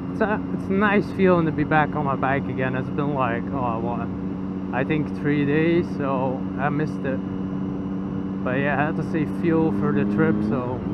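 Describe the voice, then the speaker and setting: A man keeps a moderate pace amid loud background noise, his sound dry with no echo. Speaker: motorbike vlogger. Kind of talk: casual vlog chat. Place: motorbike. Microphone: helmet.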